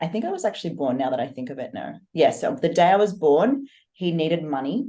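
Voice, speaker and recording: Speaking at a very fast pace, a woman uses a fairly low pitch and a dark, mellow tone, with very wide pitch swings. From Australia, Sydney. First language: German. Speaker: fitness coach and online entrepreneur. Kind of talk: podcast interview.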